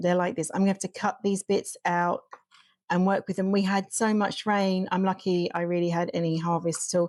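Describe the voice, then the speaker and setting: A woman at a medium pitch, fairly quick, with monotone, flat intonation, very even loudness and a dry, close sound with no echo. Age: 50s. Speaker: homesteader. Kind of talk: casual cooking vlog talk to camera. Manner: rambling, casual.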